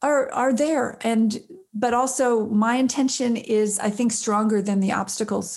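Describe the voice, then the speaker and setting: This woman talks at a fairly slow pace. Her pitch varies in an ordinary way. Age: 50s. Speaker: prison reform nonprofit founder and filmmaker. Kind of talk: interview. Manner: halting.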